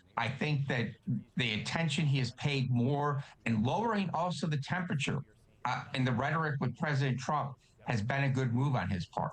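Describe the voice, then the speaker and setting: A man talks at a moderate pace with very even loudness. There is noticeable background noise. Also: fairly high pitch for a man, ordinary pitch variation. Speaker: political analyst. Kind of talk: TV news interview answer.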